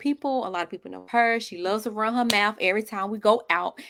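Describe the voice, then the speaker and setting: A woman with a Southern US accent at a very fast pace, fairly high pitch and ordinary pitch variation, in a very clean recording with a silent background. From North Carolina, Monroe/Wingate. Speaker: podcast co-host. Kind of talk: casual chat.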